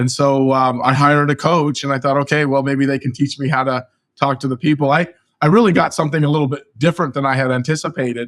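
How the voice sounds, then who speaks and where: In a very clean recording with a silent background, a man with a Californian accent talks at a very fast pace, his fairly high pitch held to fairly even intonation. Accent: Californian American English. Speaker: real estate agent. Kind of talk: interview. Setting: podcast interview.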